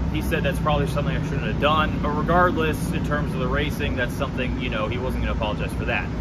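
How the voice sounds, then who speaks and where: A man speaks over loud background noise. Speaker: motorsport reporter. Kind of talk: race recap commentary. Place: street. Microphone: handheld.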